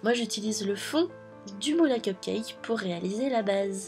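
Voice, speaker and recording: Music plays in the background as a woman talks. Her pace is moderate, with ordinary pitch variation. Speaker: polymer clay miniature artist. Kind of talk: craft tutorial voice-over. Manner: upbeat, casual.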